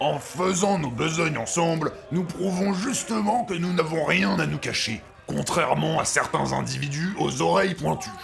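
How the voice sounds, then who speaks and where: Using a put-on character voice, a man speaks at a moderate pace with a fairly high pitch over clear background noise. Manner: blunt, stubborn.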